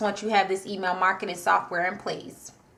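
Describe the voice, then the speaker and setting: A woman talks at a fairly quick pace in an animated tone. Background noise is noticeable. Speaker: online marketing coach. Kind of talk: tutorial. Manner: fast.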